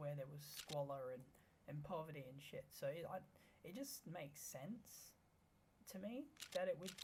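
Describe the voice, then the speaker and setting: The speaker is mumbling. The pace is fairly slow. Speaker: gaming YouTuber. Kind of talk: gameplay commentary. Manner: halting. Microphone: tweaked microphone, may be quiet.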